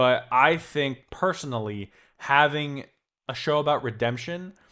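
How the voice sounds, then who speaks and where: A man's animated voice at medium pitch, with ordinary pitch variation, on a very clean recording against a silent background. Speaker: podcast host, author. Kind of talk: casual commentary podcast. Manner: loud, animated.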